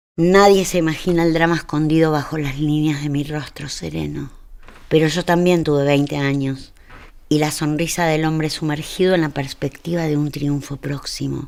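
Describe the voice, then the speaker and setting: A woman speaks at a moderate pace in a very deep, low pitch, her intonation monotone and flat. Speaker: narrator. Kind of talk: literary story reading. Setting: studio.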